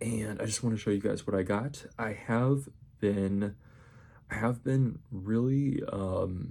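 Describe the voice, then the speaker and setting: A quiet man speaks very slowly in a dark, mellow tone. His pitch is fairly low with ordinary variation. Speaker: vlogger. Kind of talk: casual haul video. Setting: apartment at night. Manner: quiet, subdued; rambling, halting.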